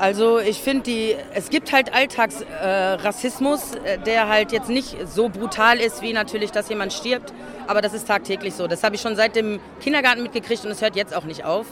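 Crowd noise fills the background. The speaker keeps a moderate pace. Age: 30s. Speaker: demonstrator interviewed. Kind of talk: street interview.

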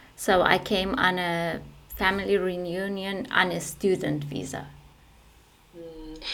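In a Persian accent, the speaker goes at a very slow pace with long, frequent pauses and fairly even intonation, and the room echo is audible. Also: woman, fairly low pitch for a woman. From Iran. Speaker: community radio maker. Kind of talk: interview. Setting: recording alone at home.

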